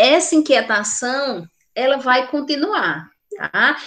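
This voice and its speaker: This speaker talks at a very slow pace with a Brazilian accent. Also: woman. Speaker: nursing teacher. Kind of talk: lecture.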